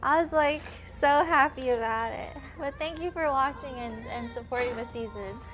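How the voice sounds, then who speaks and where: The loudness swings widely against noticeable background noise. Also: woman, moderate pace. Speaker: streamer and home cook, former cooking show contestant. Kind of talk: casual livestream chat while cooking. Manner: casual, filler-heavy speech.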